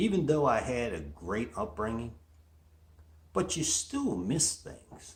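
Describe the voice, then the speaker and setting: Here a man of medium pitch uses vocal fry and very wide pitch swings. He speaks at a very slow pace with long, frequent pauses. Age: 60s. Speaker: motivational show host. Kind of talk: motivational monologue.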